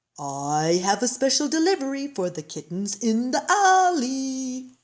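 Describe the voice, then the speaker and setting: A female-sounding put-on character voice, high in pitch, swings very widely up and down. The pace is fairly slow. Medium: read story.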